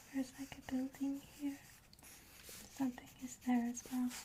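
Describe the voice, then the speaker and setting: A soft-spoken woman with a high pitch talks very slowly against noticeable background noise. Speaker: ASMR creator. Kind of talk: ASMR show and tell book presentation.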